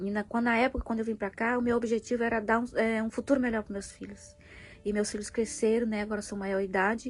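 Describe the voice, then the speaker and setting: A woman's fairly high voice at a fairly quick pace with ordinary pitch variation, music playing in the background. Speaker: vlogger, mother. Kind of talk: personal vlog, venting. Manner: halting, many fillers.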